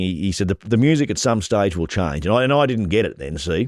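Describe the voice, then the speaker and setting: A very fast pace in an Australian accent, on a very clean recording with a silent background. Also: man. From Australia, northern New South Wales. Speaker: rural real estate and livestock agent, auctioneer. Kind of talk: interview answer. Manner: casual, conversational.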